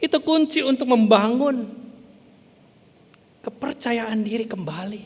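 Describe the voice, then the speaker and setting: Over noticeable background noise, a man with a West Javanese accent speaks fairly slowly at an extremely high pitch with lively intonation. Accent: Sundanese. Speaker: pastor. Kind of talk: sermon. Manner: halting, sometimes stumbling over words.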